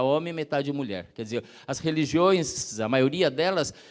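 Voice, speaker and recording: A man's voice at a moderate pace with lively intonation. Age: 60s. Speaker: activist speaker. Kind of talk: lecture. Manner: halting.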